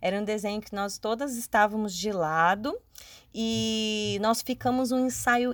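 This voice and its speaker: A woman's plain, everyday voice at a medium pitch and a fairly slow pace, dry and close with no echo in a very clean recording over a silent background. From Espírito Santo, Brazil. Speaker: dancer and company director. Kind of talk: recorded personal testimony.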